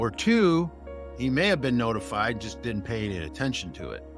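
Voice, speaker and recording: Background music is playing. Over it, a man speaks at a fairly quick pace. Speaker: insurance agent. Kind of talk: casual talk to camera.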